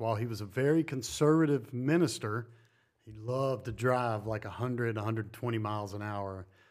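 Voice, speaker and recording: With an American accent, a man has an unremarkable speaking voice at a medium pitch and fairly even intonation. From US South, North Carolina. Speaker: greenhouse builder. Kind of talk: casual chat. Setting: in person.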